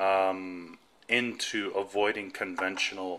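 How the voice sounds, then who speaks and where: Here a man speaks with a very deep, low pitch. His tone is bright and sharp. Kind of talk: casual home tutorial. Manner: conversational, many fillers.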